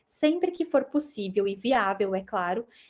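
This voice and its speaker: This is a woman with a plain, everyday voice. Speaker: UX writer giving a talk. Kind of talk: talk closing thanks; lecture.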